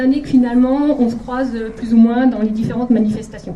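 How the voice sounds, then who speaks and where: Over audible room echo and noticeable background noise, the intonation stays fairly even. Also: woman. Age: 40s. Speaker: political candidate, primary school teacher. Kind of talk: campaign rally speech. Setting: packed hall with audience. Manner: hesitant, many filler sounds.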